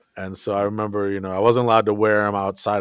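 A man with an American accent, fairly low in pitch, at a very fast pace with monotone, flat intonation. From Minnesota, US. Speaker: teacher. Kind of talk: casual interview. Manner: halting, many fillers and restarts.

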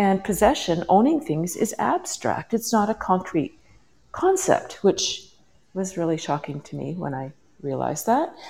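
A somewhat breathy woman's voice at medium pitch and a moderate pace, with very wide pitch swings and big swings in loudness. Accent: Canadian. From western Canada. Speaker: parenting coach. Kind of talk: interview. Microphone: headphones, possible echo.

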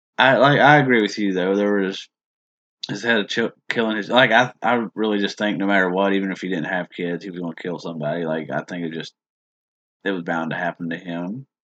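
At a fairly quick pace, a man with an unremarkable speaking voice talks at a fairly low pitch with ordinary pitch variation. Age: 30s. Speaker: true crime podcast host. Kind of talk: casual chat with case narration.

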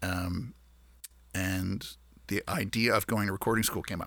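A man with a Maritime Canadian accent, a fairly low pitch, a bright, sharp tone and monotone, flat intonation. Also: very clean recording, silent background. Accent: Canadian (Maritimes). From Nova Scotia, Canada. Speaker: musician. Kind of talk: interview. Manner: halting.

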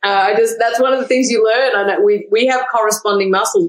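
Fairly quick, lively-intoned speech in an Australian accent. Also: woman. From Australia, Melbourne. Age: 40s. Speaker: barbecue expert and cookbook author. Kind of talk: casual interview chat.

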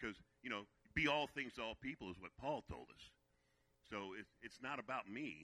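With an American accent, a man speaks fairly quickly at a fairly low pitch, his tone bright, sharp and animated and his intonation lively. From Virginia, US. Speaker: guest preacher. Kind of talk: sermon.

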